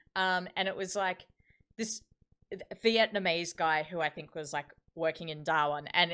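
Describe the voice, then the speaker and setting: This voice has a strong Australian accent and a bright, sharp tone with ordinary pitch variation. The recording is very clean, with a silent background. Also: woman. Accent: broad Australian, self-described rough. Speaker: live streamer and clothing brand host. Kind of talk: casual chat. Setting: live stream.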